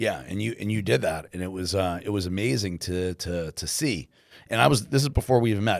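An ordinary speaking voice with lively intonation at a fairly quick pace. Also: man, fairly low pitch for a man. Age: 40s. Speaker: podcast co-host, entrepreneur. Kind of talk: casual chat.

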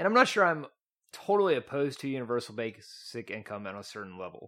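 A man with an East Texas accent, very fast, with very wide pitch swings, on a very clean recording with a silent background. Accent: East Texan, noticeable. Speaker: guest, economics graduate. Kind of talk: casual debate.

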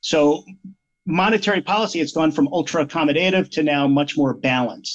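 With an unremarkable speaking voice, the man's fairly high pitch shifts in an ordinary way. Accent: American. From Pennsylvania (Malvern area). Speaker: investment manager. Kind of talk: interview about finance.

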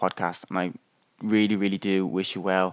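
With an Irish accent, a man talks at a fairly quick pace in a dry, close sound with no echo and a quiet background. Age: 20s. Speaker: podcast host. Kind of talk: solo monologue on mental health.

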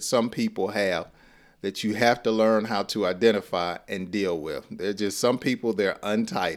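A medium-pitched man in a Southern US accent, fairly slow pace, ordinary pitch variation, very clean recording with a silent background. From US South (Georgia). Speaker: English teacher. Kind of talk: lesson. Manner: warm, upbeat.

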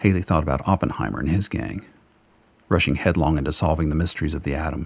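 This man speaks at a fairly quick pace. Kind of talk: radio play narration. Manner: measured, dramatic storyteller pacing.

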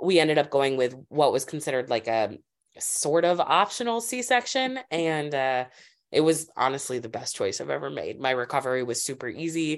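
A woman with an American accent, very deep and low in pitch, with very wide pitch swings at a moderate pace. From Springfield, Massachusetts. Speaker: MBA student and mother. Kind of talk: casual interview.

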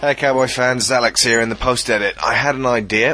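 A man with a British accent talks at a very fast pace. His tone is bright and sharp. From Britain. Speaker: podcast host. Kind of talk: casual chat. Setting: online call. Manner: loud.

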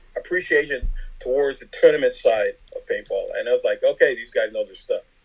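A man talks at a fairly quick pace. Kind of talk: casual interview. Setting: phone call.

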